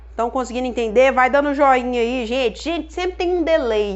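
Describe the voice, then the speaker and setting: A woman with a high pitch speaks in a lively intonation. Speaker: chemistry teacher. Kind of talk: live online lesson. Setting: Instagram live stream.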